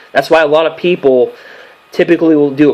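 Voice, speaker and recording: A man at a fairly high pitch and a fairly quick pace, with noticeable background noise. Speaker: sports news commentator. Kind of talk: casual vlog commentary. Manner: fast; halting with many fillers.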